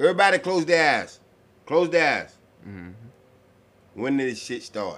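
Speaking at a moderate pace with long, frequent pauses, a man's fairly high voice shows very wide pitch swings and big swings in loudness. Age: 60s. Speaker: sports fan. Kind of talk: casual chat. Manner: animated.

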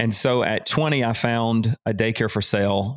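A man in a Southern US accent speaks at a fairly slow pace with fairly even intonation. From US South. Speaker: business and life coach. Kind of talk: casual interview chat.

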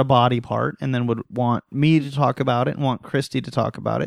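A man with a normal speaking voice talks at a medium pitch, with a dry, close sound with no echo, on a very clean recording with a silent background. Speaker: podcast host. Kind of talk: casual chat.

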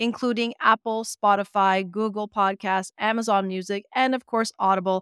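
Her voice is an ordinary speaking voice, medium in pitch with fairly even intonation, recorded dry and close with no echo. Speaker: radio host. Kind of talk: radio interview. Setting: radio studio.

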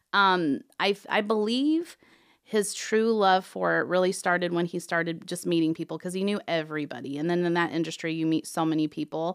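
Recorded very cleanly with a silent background, a woman talks at a fairly quick pace in a normal speaking voice, fairly low in pitch with ordinary pitch variation. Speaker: towing company owner. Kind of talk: interview. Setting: studio.

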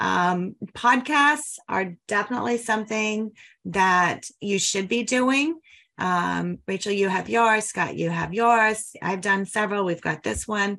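Her American accent comes through at a very slow pace. The woman's medium pitch has a bright, sharp tone. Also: ordinary pitch variation. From Denver, Colorado. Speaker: podcast host, mortgage marketing coach. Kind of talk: casual interview.

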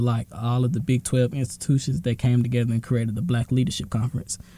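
Speaking at a very fast pace with an American accent, a man has a dark, mellow tone, a somewhat breathy quality and fairly even intonation. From Texas, Dallas (Oak Cliff). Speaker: student organization president. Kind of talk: casual interview.

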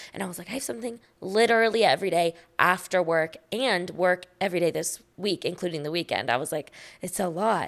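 Heard on a very clean recording with a silent background, a woman with an American accent and an unremarkable speaking voice talks at a fairly quick pace and medium pitch, with ordinary pitch variation. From Austin, Texas. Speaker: recent college graduate. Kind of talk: casual chat.

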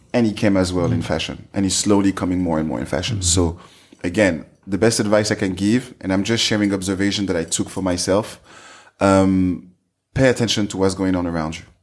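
A man with a French accent speaks at a very fast pace in a very deep, low pitch. Long pauses come often. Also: ordinary pitch variation. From France, Paris area. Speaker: fashion entrepreneur. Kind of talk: interview. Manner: halting.

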